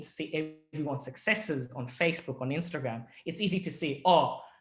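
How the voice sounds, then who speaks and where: A fairly high-pitched male voice with a slight Australian accent. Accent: slightly picked-up Australian. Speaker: ENT surgeon giving a talk to students. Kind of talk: presentation to students. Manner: halting, many restarts.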